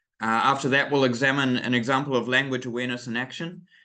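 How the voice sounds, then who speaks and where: A man with a New Zealand accent talks in a bright, sharp tone, and audible room echo surrounds his voice. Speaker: English teacher trainer. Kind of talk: webinar lecture. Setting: online webinar. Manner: hesitant, many fillers.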